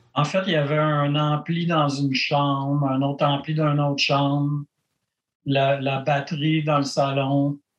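A man with a Quebec accent speaks at a fairly slow pace in a fairly high voice, his loudness very even and his intonation flat and monotone. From Quebec, Granby. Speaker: punk rock musician. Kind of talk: casual interview.

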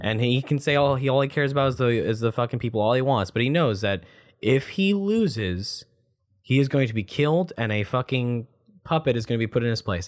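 A man with a plain, everyday voice talks at a fairly quick pace with lively intonation over a quiet background. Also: medium pitch for a man. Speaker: podcast host. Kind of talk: casual chat. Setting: home office.

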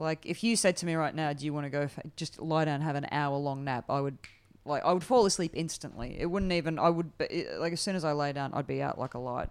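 Talking at a very fast pace, a woman with an Australian accent and a very deep, low pitch shows ordinary pitch variation on a very clean recording with a silent background. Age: 40s. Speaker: comedian. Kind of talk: casual chat.

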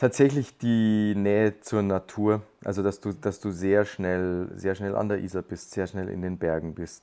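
A man with a Bavarian accent speaks at a fairly low pitch in a dark, mellow tone, with fairly even intonation. His pace is fairly slow with hardly any pauses, on a very clean recording with a silent background. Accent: Bavarian dialect speaker. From Lower Bavaria, Germany. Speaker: podcast guest. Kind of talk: casual chat.

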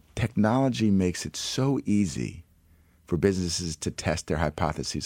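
In a very clean recording with a silent background, a man speaks with lively intonation and vocal fry. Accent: American. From New York City. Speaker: entrepreneur and startup investor. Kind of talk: radio interview.

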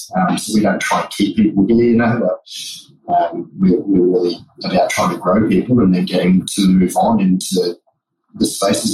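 A man talks at a fairly quick pace with an Australian accent. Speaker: beverage company co-founder and psychologist. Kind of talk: interview. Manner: casual, with fillers and repetitions.

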